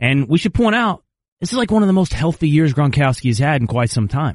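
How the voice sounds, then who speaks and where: Against a quiet background, a man with a fairly high, somewhat breathy voice talks at a very fast pace with very wide pitch swings. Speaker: sports radio co-host. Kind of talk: casual chat. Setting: studio.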